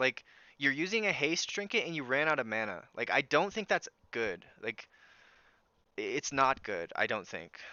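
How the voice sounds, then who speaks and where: Loud and fairly slow, a man talks at a fairly high pitch with very wide pitch swings and vocal fry. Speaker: video game streamer. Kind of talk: gameplay commentary.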